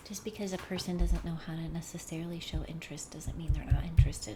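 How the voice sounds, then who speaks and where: Audible room echo and noticeable background noise surround a woman speaking at a fairly low pitch. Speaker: tarot card reader. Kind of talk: tarot reading. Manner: reflective, intuitive musing.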